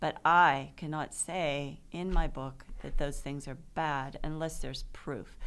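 A woman with an American accent speaks very slowly, using vocal fry at a very deep, low pitch. Her intonation stays fairly even. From Pittsburgh, Pennsylvania. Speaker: author. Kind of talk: interview. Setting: studio.

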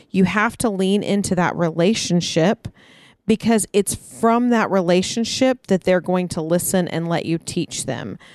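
A plain, everyday voice at a fairly slow pace, with ordinary pitch variation. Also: woman, medium pitch for a woman. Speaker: podcast co-host. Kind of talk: casual chat. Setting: backyard, outdoors.

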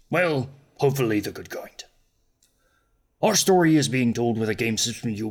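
A man talks in a raspy voice at a medium pitch. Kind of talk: podcast show introduction. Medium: actual play. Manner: warm, playful, theatrical.

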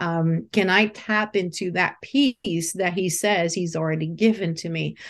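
With a Portuguese accent, a woman talks at a medium pitch. Her pitch variation is ordinary, and the background is quiet. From Brazil. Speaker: branding strategist and mentor. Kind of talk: interview.

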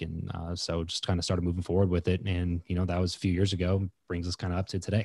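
Very fast and somewhat breathy, a man with an American accent talks at a very deep, low pitch with a dark, mellow tone, in a dry, close sound with no echo. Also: very clean recording, silent background. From Southern California (Lancaster, northern LA County). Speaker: entrepreneur and podcaster. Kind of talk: podcast interview. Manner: casual, many fillers and repetitions.

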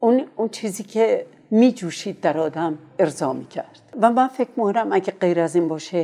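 A woman speaks with a medium pitch and a dark, mellow tone. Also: lively intonation, moderate pace. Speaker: veteran voice actor and radio announcer. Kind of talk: oral history interview.

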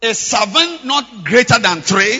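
Big pitch swings run through a man's extremely high-pitched voice, which has a bright, sharp tone, a slightly husky edge and a fairly slow pace.

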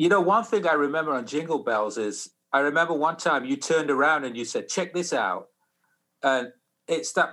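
On a very clean recording with a silent background, a man speaks in a Sheffield accent. His pace is moderate and his pitch variation ordinary. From northern England (Sheffield). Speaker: musician. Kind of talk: casual interview.

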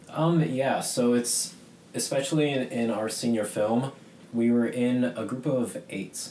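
A man with an American accent speaks at a fairly slow pace in a medium-pitched voice. His pitch varies in an ordinary way over noticeable background noise. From US Northeast, Boston. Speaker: illustrator. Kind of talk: radio interview.

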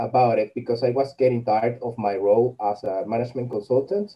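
A man speaks with a Spanish accent. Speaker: coffee blogger and content writer. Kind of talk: interview. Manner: halting, with many repetitions and fillers.

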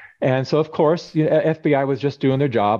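This man has an unremarkable speaking voice with an American accent and medium pitch. He talks at a fairly quick pace with fairly even intonation over a quiet background. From California. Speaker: documentary filmmaker. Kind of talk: interview conversation.

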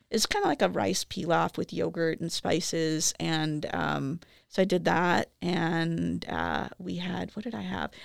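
In a Chicago accent, a woman talks at a fairly slow pace with hardly any pauses, the sound dry and close with no echo. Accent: Chicago American English. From Chicago, US Midwest. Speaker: professor. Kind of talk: casual interview. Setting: studio. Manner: hesitant, many fillers.

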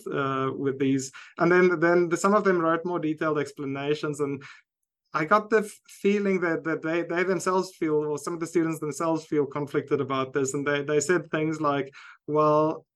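Speaking at a moderate pace, a man with a South African accent keeps a fairly high pitch and fairly even intonation. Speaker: university lecturer and researcher. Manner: hesitant, many fillers.

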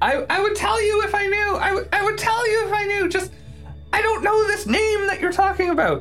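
Over clear background noise, an extremely high put-on character voice moves at a moderate pace. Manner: pleading, eager to talk.

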